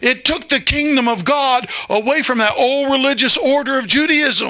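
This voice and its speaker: The voice is raised and projected. Its tone is animated, with ordinary pitch variation. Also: man. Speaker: pastor. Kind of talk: sermon to a live congregation. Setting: church with congregation. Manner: animated, call-and-response preaching, pausing for amens; emphatic, conversational. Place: church. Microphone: handheld.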